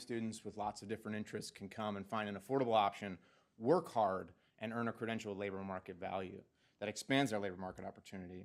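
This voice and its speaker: With a northeastern US accent, a man talks at a very fast pace in a fairly low pitch. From New Jersey. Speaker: education policy scholar. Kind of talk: presentation to a board. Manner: halting, many fillers and repeats.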